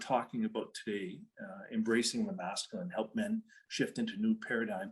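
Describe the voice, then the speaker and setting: Man with a Canadian accent at a moderate pace, with very wide pitch swings. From western Canada, Calgary. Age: 60s. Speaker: retired police officer and speaker. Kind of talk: talk to an online audience.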